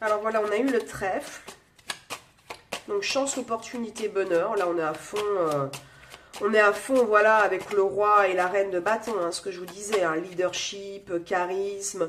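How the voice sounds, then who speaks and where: A woman speaks at a fairly slow pace with long, frequent pauses, her medium pitch showing ordinary variation over noticeable background noise. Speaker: tarot and astrology reader. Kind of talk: astrology guidance reading. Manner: hesitant, articulation slips.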